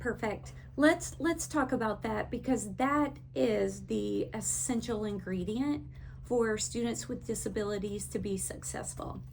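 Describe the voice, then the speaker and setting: With a strong Texas accent, a woman speaks at a fairly slow pace amid audible room echo. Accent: thick Texas. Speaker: education consultant. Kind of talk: teacher training talk.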